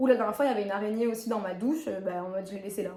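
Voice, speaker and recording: Noticeable background noise sits behind a woman with a fairly high pitch. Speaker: YouTuber, lifestyle and fitness vlogger. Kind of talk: casual vlog monologue. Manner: fast; animated.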